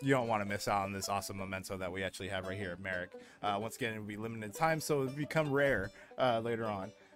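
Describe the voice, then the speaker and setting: Clear music plays in the background as the voice goes at a very fast pace. The sound is dry with no echo, and the pitch varies in an ordinary way. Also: man, fairly low pitch for a man. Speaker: game streamer host. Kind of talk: commentary. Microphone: headset.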